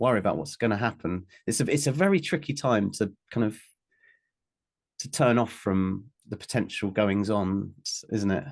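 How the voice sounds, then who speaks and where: Here is a man with an ordinary speaking voice. His fairly low pitch carries lively intonation. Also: moderate pace. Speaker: interviewer. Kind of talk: podcast interview questions.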